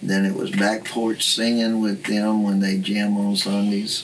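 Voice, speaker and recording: Fairly low-pitched man with a Southern US accent, with audible room echo and noticeable background noise. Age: 70s. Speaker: blues guitarist and singer. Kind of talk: interview.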